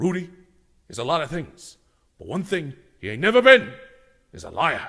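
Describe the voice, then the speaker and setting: In a put-on character voice, a man speaks at a high pitch and a moderate pace. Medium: audio drama. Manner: gruff, blunt.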